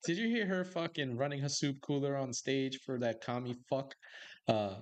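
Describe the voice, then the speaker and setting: A man with an American accent speaks at a fairly high pitch with lively intonation and an animated tone. The background is quiet. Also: moderate pace. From Brooklyn, New York. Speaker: podcast host. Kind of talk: casual chat.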